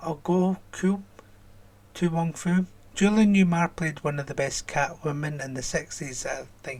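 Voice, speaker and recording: Speaking at a fairly slow pace, a man with a Scottish accent uses a high pitch and ordinary pitch variation. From Scotland. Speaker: YouTube reaction channel host. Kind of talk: reading and answering viewer comments.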